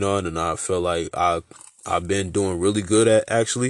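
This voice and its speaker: A man with a fairly low pitch and intonation kept fairly even. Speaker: podcast host. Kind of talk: casual monologue. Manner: mumbling; halting.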